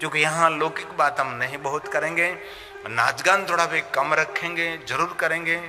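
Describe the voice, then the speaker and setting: Music plays in the background. Over it, a man talks in a fairly high pitch. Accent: Gujarati. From Gujarat, India. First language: Gujarati (speaking Hindi). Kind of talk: religious discourse.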